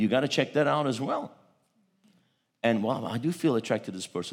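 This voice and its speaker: A man talks at a very fast pace with vocal fry and very wide pitch swings. The background is silent and the recording very clean. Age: 50s. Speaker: pastor. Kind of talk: sermon. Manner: animated.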